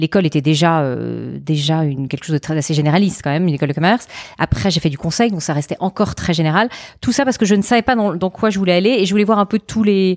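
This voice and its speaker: A woman talks at a very fast pace. The sound is dry and close, with no echo. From France. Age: 40s. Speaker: entrepreneur. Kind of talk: interview. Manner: halting, many repetitions.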